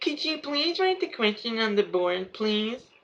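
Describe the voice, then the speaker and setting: A female-sounding voice puts on a character voice with a fairly high pitch. The pace is moderate. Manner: mocking.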